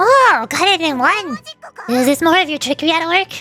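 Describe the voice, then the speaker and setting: A woman puts on a squeaky character voice at an extremely high pitch, speaking at a moderate pace. Faint music plays in the background. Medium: virtual streamer. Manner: bright, eager, inquisitive.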